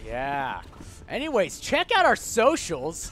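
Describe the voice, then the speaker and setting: Music in the background accompanies a speaker with an American accent, whose animated tone moves at a moderate pace. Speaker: esports caster. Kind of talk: live commentary. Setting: esports arena stream. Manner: loud.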